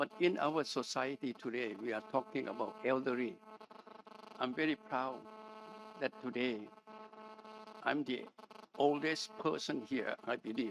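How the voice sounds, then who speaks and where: Over noticeable background noise, a man speaks at medium pitch and a fairly slow pace. His pitch swings very widely, with long, frequent pauses. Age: 90s. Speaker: medical doctor and university president. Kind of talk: panel discussion.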